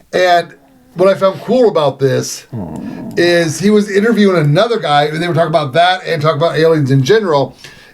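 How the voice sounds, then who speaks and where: A man speaks in a high voice with an animated tone and ordinary pitch variation, with noticeable background noise behind him. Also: fairly quick pace. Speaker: podcast co-host. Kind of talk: casual chat. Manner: halting.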